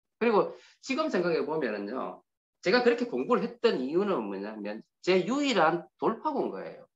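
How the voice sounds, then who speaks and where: A man speaks with a Gyeongsang accent. His pace is moderate. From Gyeongsang region, Korea (Daegu area). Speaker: motivational speaker. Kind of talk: invited speech with personal testimony.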